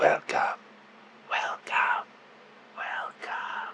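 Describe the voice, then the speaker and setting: Someone is whispering over noticeable background noise. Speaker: vlogger. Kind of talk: asmr book talk. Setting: at home, filming self on camera. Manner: quiet, soft-spoken.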